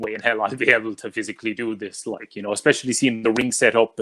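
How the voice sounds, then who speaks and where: A man with an Irish accent speaks at a medium pitch and a fairly quick pace. His tone is bright and sharp, with a dry, close sound and no echo. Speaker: wrestling podcast host. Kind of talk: interview. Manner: loud, enthusiastic.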